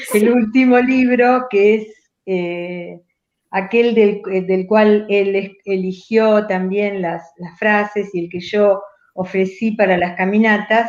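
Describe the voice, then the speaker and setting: A woman speaks at medium pitch with fairly even intonation. Her pace is very slow. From Argentina, Rosario. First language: Italian dialect (speaking Spanish). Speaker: writer and poet. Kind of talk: conversational interview.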